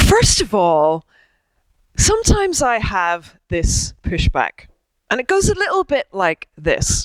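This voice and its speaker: Speaking in an Irish accent, a woman goes at a very slow pace in a dry, close sound with no echo. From Ireland. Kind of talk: public talk.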